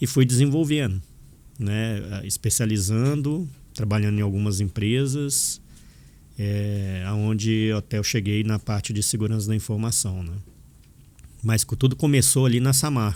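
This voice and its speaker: A man with a Minas Gerais accent speaks in a fairly low pitch with a dark, mellow tone and ordinary pitch variation. His pace is fairly slow, with long, frequent pauses. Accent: mineiro (Minas Gerais). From Minas Gerais, Brazil (born in Angola). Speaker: information security professor and author. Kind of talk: podcast interview.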